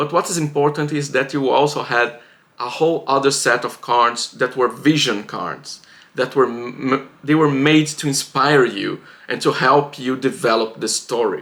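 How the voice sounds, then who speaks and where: Speaking at a moderate pace, a man with a non-native accent has a fairly high pitch for a man and ordinary pitch variation. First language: not English. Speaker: writing vlogger. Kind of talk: casual vlog monologue. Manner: halting, with fillers and restarts.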